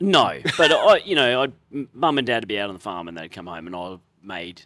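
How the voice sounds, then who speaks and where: A man with an Australian accent talks at a fairly quick pace in a bright, sharp tone, his medium pitch making very wide swings while his loudness shifts a lot. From Australia, Queensland Sunshine Coast (Nambour). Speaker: chef. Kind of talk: casual chat.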